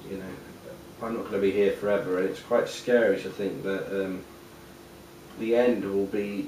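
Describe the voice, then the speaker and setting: A man with an English accent, fairly low pitch, fairly even intonation and a moderate pace, with audible room echo. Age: 30s. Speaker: interviewee with Asperger's syndrome. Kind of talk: casual interview monologue. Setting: at home. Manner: hesitant, many fillers.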